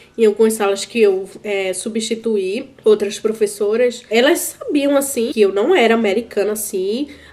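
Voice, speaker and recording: Against noticeable background noise, a woman with a fairly high pitch speaks at a fairly slow pace with hardly any pauses. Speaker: YouTuber, school substitute teacher. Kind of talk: casual vlog monologue. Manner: casual, halting with fillers.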